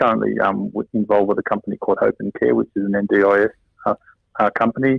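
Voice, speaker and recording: A man with an Australian accent, at a very fast pace. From Sydney, Australia. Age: 60s. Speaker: interview guest. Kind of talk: casual interview chat. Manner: halting, many fillers.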